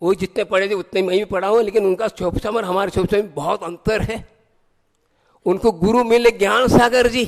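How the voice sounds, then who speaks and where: A man with a high pitch and fairly even intonation is heard in a dry, close sound with no echo. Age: 60s. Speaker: Jain monk. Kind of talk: sermon.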